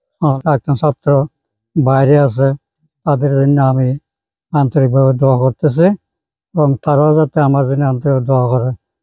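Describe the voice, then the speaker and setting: In a dry, close sound with no echo, a man speaks in a monotone, flat intonation at very even loudness. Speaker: retired school teacher. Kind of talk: speech of thanks. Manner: halting.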